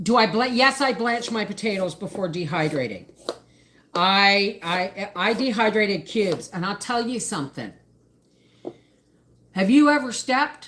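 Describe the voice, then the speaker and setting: A woman at medium pitch and moderate pace, with lively intonation and long, frequent pauses. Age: 50s. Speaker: homesteading channel host. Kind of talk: casual livestream chat. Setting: home kitchen livestream. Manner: chatty, with frequent fillers and repeats.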